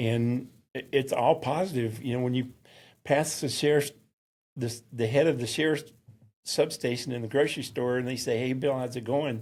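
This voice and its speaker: A man speaks with a Southern accent. His pitch sits in the medium range. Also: fairly even intonation, moderate pace. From US South, mountains of North Carolina. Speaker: synagogue security volunteer. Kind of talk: interview. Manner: halting.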